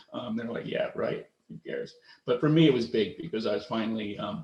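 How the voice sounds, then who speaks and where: At a moderate pace, a man talks with an American accent. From US, Philadelphia suburbs. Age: 50s. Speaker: woodworker. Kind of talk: presentation talk. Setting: video call. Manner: halting, many fillers and restarts.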